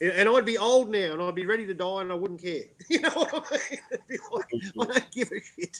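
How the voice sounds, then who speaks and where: The speaker has an Australian accent and a moderate pace. The pitch moves in very wide swings. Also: man. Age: 50s. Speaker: talk show host. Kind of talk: casual chat.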